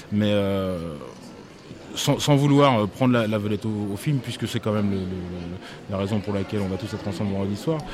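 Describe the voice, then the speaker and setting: A man's fairly low voice at a fairly quick pace, with ordinary pitch variation, noticeable background noise and audible room echo. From France, Angers. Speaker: musician. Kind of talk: interview. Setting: festival hall.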